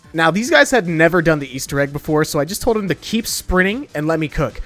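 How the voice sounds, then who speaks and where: Over music in the background, a man with a fairly high pitch talks at a very fast pace with lively intonation. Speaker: gaming YouTuber. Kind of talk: gameplay commentary voice-over. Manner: casual, profane.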